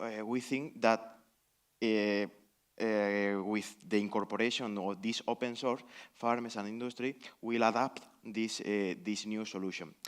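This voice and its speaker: Speaking with a Spanish accent, a man at medium pitch talks fairly slowly with fairly even intonation and long, frequent pauses. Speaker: conference panelist, researcher. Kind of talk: panel discussion Q&A. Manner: halting, many fillers.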